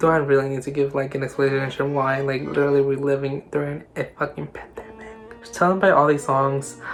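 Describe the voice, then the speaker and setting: Noticeable background noise behind fairly quick talk. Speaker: K-pop reaction YouTuber. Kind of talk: casual vlog monologue, song ranking. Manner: halting, many fillers and restarts.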